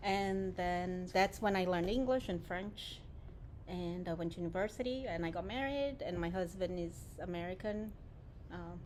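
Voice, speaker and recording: Speech with a Portuguese accent moves at a moderate pace with ordinary pitch variation and long, frequent pauses, and audible room echo surrounds it. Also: woman. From Brazil, Japanese-Brazilian family. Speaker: nonprofit director. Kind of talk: interview. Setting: warehouse.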